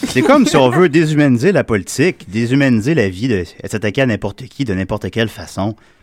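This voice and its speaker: With an unremarkable speaking voice, a man talks at a fairly quick pace in a medium pitch, his intonation lively. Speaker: community radio host. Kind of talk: casual chat. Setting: studio.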